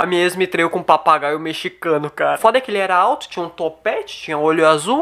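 Speaking with a Brazilian accent, a man has a high pitch and ordinary pitch variation. He rushes at a very fast pace with hardly any pauses. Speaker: stand-up comedian and YouTuber. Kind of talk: stand-up comedy. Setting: home, filmed in bedroom. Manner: casual, slangy, swearing. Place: home room. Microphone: studio mic.

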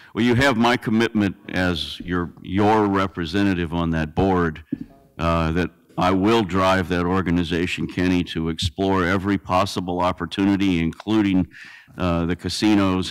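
A very deep, low-pitched man at a moderate pace, with fairly even intonation, over a quiet background. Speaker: transit board member; board representative presenting at council. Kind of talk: answering questions at council meeting. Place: hall. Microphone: podium.

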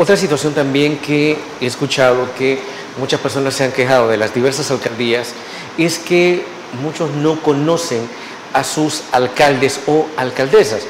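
The speech moves at a moderate pace with ordinary pitch variation, light background noise and audible room echo. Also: man. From El Salvador. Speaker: TV interviewer. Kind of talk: TV interview. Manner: formal. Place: studio. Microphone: lapel.

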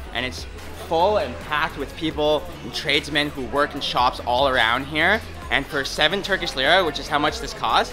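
With clear music in the background, a man speaks at a moderate pace with ordinary pitch variation. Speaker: food vlogger. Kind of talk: casual vlog chat. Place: market.

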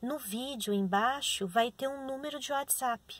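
A woman's fairly slow speech, ordinary in pitch variation, in a dry sound without echo. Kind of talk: instructions, then a spoken prayer. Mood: calm, gentle. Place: car. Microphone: phone near.

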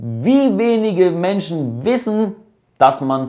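Against a quiet background, a man speaks at a very slow pace in a fairly high pitch with very wide pitch swings. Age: 20s. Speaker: company CEO. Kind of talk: casual vlog explainer. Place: cafe.

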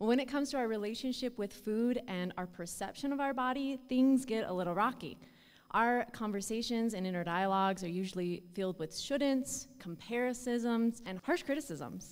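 At a moderate pace and with ordinary pitch variation, the voice comes through over a quiet background. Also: woman. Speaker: presenter. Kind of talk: prepared short talk. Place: stage. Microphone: studio mic.

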